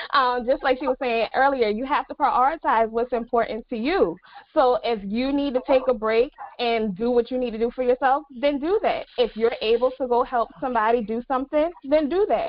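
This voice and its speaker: A woman with an American accent speaks at a high pitch with ordinary pitch variation. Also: moderate pace. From US South, Beaufort, South Carolina. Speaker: financial educator. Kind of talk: panel discussion. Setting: video call.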